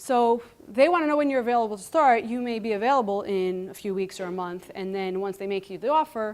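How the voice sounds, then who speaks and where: A woman with a Greek accent talks at a very fast pace, with hardly any pauses. Her fairly high voice has lively intonation. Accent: Greek accent, noticeable. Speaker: computer science lecturer. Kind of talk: conference talk. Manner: animated.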